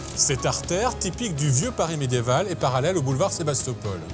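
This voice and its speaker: This man talks at a moderate speed. Background music can be heard. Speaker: TV host. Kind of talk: TV show presenting to camera.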